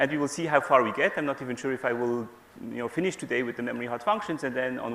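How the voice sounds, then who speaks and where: Here a man talks at a very fast pace. His pitch is medium for a man, with ordinary pitch variation. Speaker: professor. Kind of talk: lecture. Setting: stage with audience.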